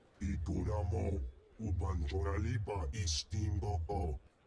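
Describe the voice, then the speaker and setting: A put-on character voice from a man, very deep and low in pitch, at a moderate pace. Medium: video game. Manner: imperious, rumbling alien speech.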